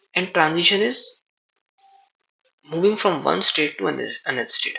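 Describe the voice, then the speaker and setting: Speaking at a fairly quick pace, a man talks with a non-native accent. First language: not English. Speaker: programming tutorial creator. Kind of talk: tutorial. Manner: halting.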